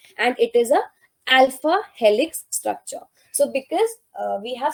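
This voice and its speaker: In a dry, close sound with no echo, a woman with an Indian accent speaks with ordinary pitch variation. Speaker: life sciences exam tutor. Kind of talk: lecture. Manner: slow.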